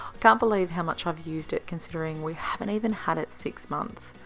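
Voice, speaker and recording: With an Australian accent, the speaker's pitch varies in an ordinary way. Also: woman. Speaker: home cook vlogger. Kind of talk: casual talk to camera.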